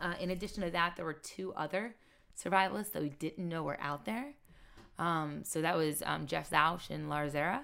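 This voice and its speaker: Speaking at a moderate pace with an American accent, a woman has a fairly low pitch, ordinary pitch variation and vocal fry, on a very clean recording with a silent background. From Maryland, Carroll County. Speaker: reality TV survivalist. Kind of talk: casual interview.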